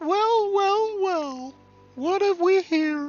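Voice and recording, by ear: An extremely high-pitched, put-on character voice plays over faint music in the background.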